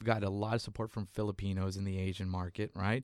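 Captured very cleanly, this man's speech has total silence behind it. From South Texas, Mexican-American. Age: 30s. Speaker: stand-up comedian. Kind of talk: casual interview.

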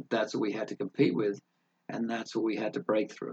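Delivered at a fairly quick pace, this is a plain, everyday voice with a dry, close sound and no echo. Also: man. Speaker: entrepreneur. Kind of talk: casual interview chat.

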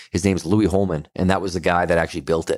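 In a very clean recording with a silent background, a man with a Western Canadian accent talks very fast, his pitch varying in an ordinary way. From Canada, Kelowna, British Columbia. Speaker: brewery owner. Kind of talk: casual interview.

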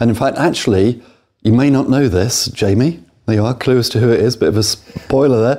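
Speaking at a fairly quick pace, a man with a British accent has a medium pitch, ordinary pitch variation, and a dark, mellow tone. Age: old. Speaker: podcast host, property investor. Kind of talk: interview; scripted outro. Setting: studio.

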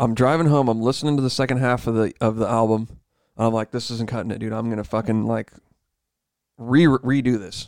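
Using an unremarkable speaking voice, a man talks at a fairly quick pace and medium pitch with fairly even intonation. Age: 30s. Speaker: podcast co-host. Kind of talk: casual chat.

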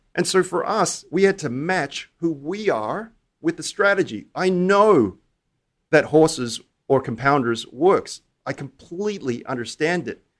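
Here a man with an Australian accent and a high pitch speaks at a fairly slow pace. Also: lively intonation. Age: 40s. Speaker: hedge fund manager. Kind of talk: interview.

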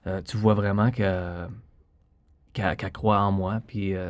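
Fairly low in pitch, this man talks at a fairly slow pace with fairly even intonation. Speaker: ballet dancer. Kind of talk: interview. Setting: studio.

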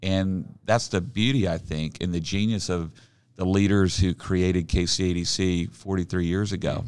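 With an American accent and a very deep, low voice, a man speaks at a moderate pace with fairly even intonation on a very clean recording with a silent background. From Oklahoma City, Oklahoma. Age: 50s. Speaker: regional development executive. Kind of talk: casual interview.

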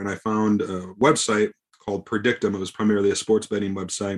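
A man with an ordinary speaking voice and fairly low pitch talks at a fairly quick pace. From US Midwest, small-town Wisconsin. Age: 30s. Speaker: poker journalist and player. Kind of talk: podcast interview.

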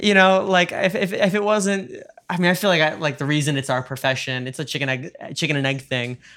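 A man with an American accent, fairly high in pitch, bright and sharp in tone, at a very fast pace. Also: ordinary pitch variation. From New York. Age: 20s. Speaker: podcast host and musician. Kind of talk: casual chat; scripted announcements. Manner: halting, repeats words.

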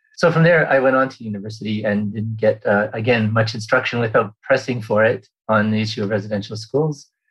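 A man with a Canadian accent talks at a fairly quick pace. His voice is somewhat breathy, medium in pitch, with ordinary pitch variation. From Vancouver Island, British Columbia, Canada. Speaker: archivist. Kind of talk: interview. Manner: halting, many fillers.

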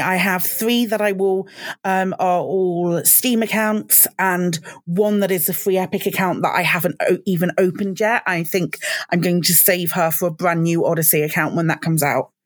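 A woman's medium-pitched voice with a British accent, fairly even intonation and a moderate pace. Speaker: podcast co-host. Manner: hesitant, many fillers.

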